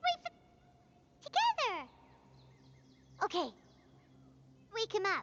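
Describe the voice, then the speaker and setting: An extremely high put-on character voice at a moderate pace, broken by long, frequent pauses. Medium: video game.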